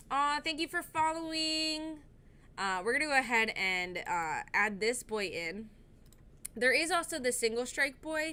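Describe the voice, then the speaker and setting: A woman speaks in a high, raised, projected voice with a bright, sharp tone. Her pitch swings very widely at a fairly slow pace. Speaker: streamer. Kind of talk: live gaming stream.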